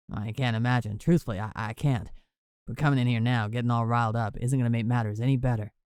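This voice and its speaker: A man rattles along at a very fast pace in a gravelly, put-on character voice of medium pitch. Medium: read story. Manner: calm.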